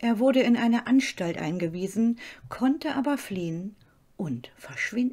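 A woman's fairly high voice with a dark, mellow tone, lively intonation and a dramatic, serious tone at a fairly slow pace. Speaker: true-crime channel host. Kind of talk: true-crime narration. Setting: studio, solo voiceover. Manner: calm, measured storytelling pace; slightly dramatic, suspenseful and serious tone.

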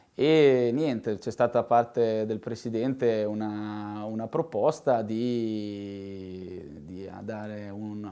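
A dark, mellow tone comes from a man talking, with only quiet in the background. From Italy, Rimini; Italy. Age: 20s. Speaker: assistant waste-collection coordinator. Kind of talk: interview. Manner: halting, many repetitions. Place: office.

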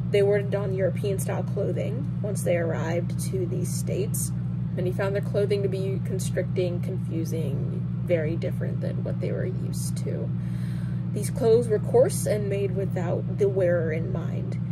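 A woman talks at a moderate pace. Loud background noise is present. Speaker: presenter. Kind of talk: educational presentation. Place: home room. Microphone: earbuds.

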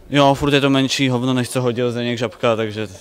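Faint background noise sits behind a man speaking at a medium pitch with fairly even intonation.

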